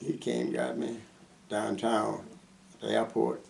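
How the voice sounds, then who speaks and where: A man's speech comes with noticeable background noise around it. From US South, Mississippi. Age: 80s+. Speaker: war veteran. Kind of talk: oral history interview. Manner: halting.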